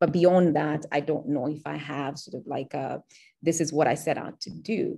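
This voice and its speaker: Dark, mellow tone with vocal fry, fairly even intonation and big swings in loudness at a moderate pace against a quiet background. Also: woman, very deep, low pitch for a woman. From Kenya. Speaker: writer; interviewee. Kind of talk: interview. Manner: halting. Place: home room. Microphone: video call.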